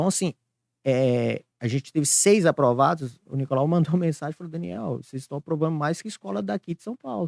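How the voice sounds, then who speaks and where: On a very clean recording with a silent background and a dry, close sound with no echo, a man talks at a very fast pace with lively intonation and fairly high pitch. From Brazil, Minas Gerais (Ipatinga). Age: 30s. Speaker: school director and entrepreneur. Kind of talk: podcast interview. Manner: hesitant, many fillers.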